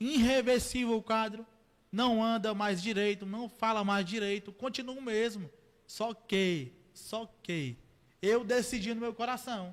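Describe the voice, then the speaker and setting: A man with a high pitch for a man, fairly even intonation and a fairly slow pace. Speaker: church member giving testimony. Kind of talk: testimony. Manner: halting, with stumbles and repeated syllables.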